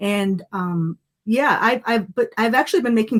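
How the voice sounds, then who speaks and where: Somewhat breathy, a woman speaks at a medium pitch with ordinary pitch variation on a very clean recording with a silent background. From US, multicultural Lebanese-American family. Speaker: photographer and documentary filmmaker. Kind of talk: podcast interview.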